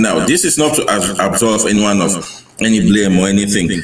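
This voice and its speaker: A man speaks at a moderate pace with a fairly low pitch. The recording has audible room echo and noticeable background noise. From Cameroon. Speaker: army officer and history enthusiast. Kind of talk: interview.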